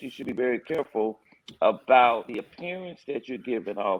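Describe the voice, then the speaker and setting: In an ordinary speaking voice, a man talks at a medium pitch and a moderate pace. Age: 60s. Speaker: pastor. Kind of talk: panel discussion.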